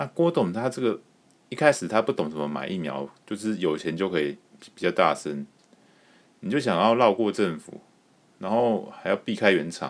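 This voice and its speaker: With a Taiwanese accent, a man of fairly low pitch speaks at a moderate pace, swinging very widely in pitch and leaving long, frequent pauses. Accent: Taiwanese Mandarin. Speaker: podcast host. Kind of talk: casual solo commentary.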